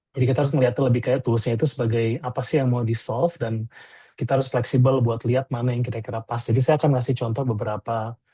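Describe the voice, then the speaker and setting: A man speaks at a very fast pace in a medium pitch, with a dark, mellow, somewhat breathy tone and fairly even intonation. The sound is dry and close with no echo, and the background is quiet. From Indonesia, Bandung (West Java). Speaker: product designer, webinar speaker. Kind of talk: webinar presentation. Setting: online webinar. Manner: casual, with many filler hesitations.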